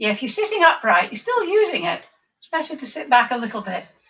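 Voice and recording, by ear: A woman's high, croaky put-on character voice, very fast, with very wide pitch swings.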